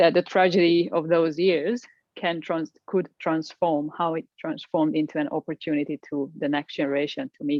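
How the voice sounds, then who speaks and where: This woman talks at a moderate pace with a Hungarian accent, her fairly low pitch showing ordinary variation. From Hungary, Budapest. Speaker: executive coach. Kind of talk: interview. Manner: halting.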